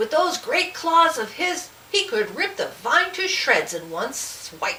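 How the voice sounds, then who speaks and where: Putting on a character voice, a woman speaks at a fairly slow pace at an extremely high pitch with very wide pitch swings, over clear background noise. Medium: read story. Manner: haughty.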